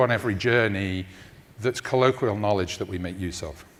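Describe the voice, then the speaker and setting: This is a man speaking with a London accent. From London, England. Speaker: tech company research executive. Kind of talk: conference talk.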